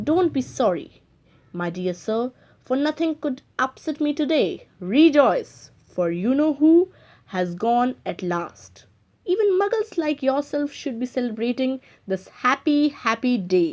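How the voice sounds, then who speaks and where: Putting on a squeaky, high-pitched character voice, a woman speaks fairly slowly with very wide pitch swings. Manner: gleeful.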